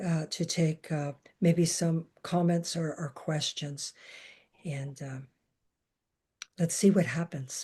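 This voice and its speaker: Speaking very slowly with long, frequent pauses, a woman uses a fairly low pitch, a dark, mellow tone, fairly even intonation, and a somewhat breathy sound against a quiet background. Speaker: medium and author. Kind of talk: psychic reading. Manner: halting, many fillers.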